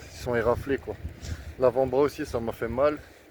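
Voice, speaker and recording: A man's very slow speech over noticeable background noise. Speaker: vlogger. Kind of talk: casual vlog monologue while cycling. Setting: outdoors on a bike. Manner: strained, exclamatory.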